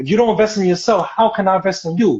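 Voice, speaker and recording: A man with a strong New York accent at a fairly quick pace. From New York City. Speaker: model and actor. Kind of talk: interview.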